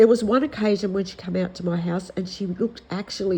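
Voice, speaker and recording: Somewhat breathy and dark, mellow in tone, a woman talks at a moderate pace with an Australian accent and ordinary pitch variation. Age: 60s. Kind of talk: casual talk to camera.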